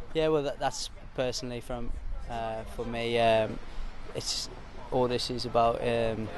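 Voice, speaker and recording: A man's voice, dry with no echo, over noticeable background noise. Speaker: professional footballer. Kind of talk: interview. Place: open country.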